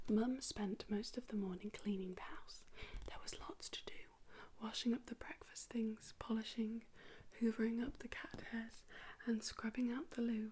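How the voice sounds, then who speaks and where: A woman keeps her intonation fairly even while noticeable background noise sounds around her. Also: fairly high pitch for a woman. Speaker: ASMR creator. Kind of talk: whispered children's story reading to help sleep. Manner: whispered, soft, slow.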